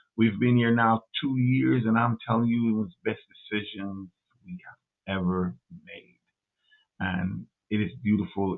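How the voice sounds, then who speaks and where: Lively intonation in an American accent, broken by long, frequent pauses. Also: man. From Jamaica. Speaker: livestream speaker. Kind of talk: casual monologue. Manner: halting, with many repetitions.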